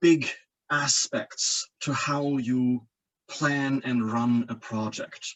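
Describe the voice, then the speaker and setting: A man with a German accent speaks at a fairly high pitch. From Germany, coastal region. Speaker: engineering professor. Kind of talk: lecture. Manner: halting, frequent repetitions and fillers.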